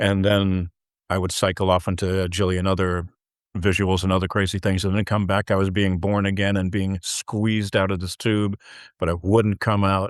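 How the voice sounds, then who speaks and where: A man with a very deep, low pitch and an American accent, monotone and flat in intonation, at a moderate pace, with a dry, close sound, no echo and a quiet background. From US Midwest, Chicago area. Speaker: filmmaker and producer. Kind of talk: interview. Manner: halting, many repeated words.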